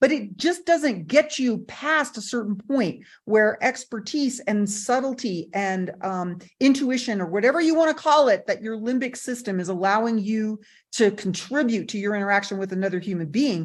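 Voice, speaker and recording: Against a quiet background, a woman speaks in an animated, somewhat breathy voice with lively intonation. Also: fairly high pitch for a woman, moderate pace, hardly any pauses. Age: 60s. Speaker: MI trainer. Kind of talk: panel discussion.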